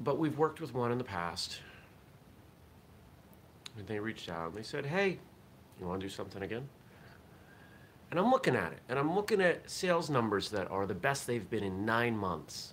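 Over light background noise, a man talks at a fairly quick pace with very wide pitch swings. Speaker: vlog host. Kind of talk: casual vlog chat. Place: home room. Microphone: webcam.

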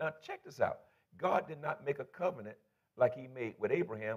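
In a quiet background, a man speaks at a fairly quick pace. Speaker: pastor. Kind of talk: sermon. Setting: church. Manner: animated. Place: church. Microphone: lapel.

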